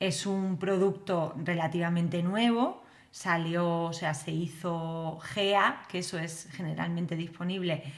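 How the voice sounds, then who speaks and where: In a strong Spanish accent, a woman with a fairly low pitch talks at a fairly slow pace amid audible room echo. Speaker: developer educator. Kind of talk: live stream tutorial. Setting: live stream. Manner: casual, many fillers. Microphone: new computer setup, mic may not sound right.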